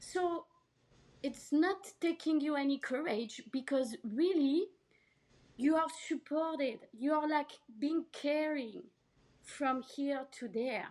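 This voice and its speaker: Speaking at a very slow pace with a French accent, the voice leaves long, frequent pauses. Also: woman, high pitch for a woman, ordinary pitch variation. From France, Paris. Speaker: healer and actress. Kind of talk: podcast interview.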